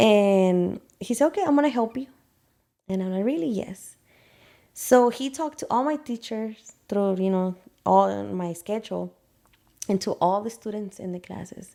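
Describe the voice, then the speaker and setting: A woman with a Spanish accent and a dark, mellow tone speaks with lively intonation and long, frequent pauses on a very clean recording with a silent background. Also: medium pitch for a woman, moderate pace. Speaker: hair salon owner. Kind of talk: interview. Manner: animated.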